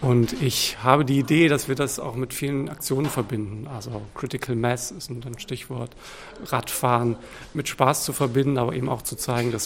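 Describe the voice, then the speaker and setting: Against noticeable background noise, a man of medium pitch talks at a moderate pace with fairly even intonation. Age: 30s. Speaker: teacher and volunteer cycling officer. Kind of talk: radio interview.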